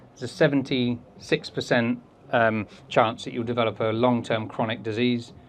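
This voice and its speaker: A man with an English accent speaks at a moderate pace in a medium pitch, his intonation monotone and flat. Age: 40s. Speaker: behaviour consultant and speaker. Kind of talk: talk with audience Q&A.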